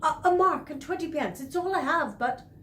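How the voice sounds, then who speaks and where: The speaker uses a put-on character voice that sounds strained, with lively intonation. The pace is moderate, and background noise is clear. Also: woman, high pitch for a woman. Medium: read story. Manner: insistent, plain-spoken.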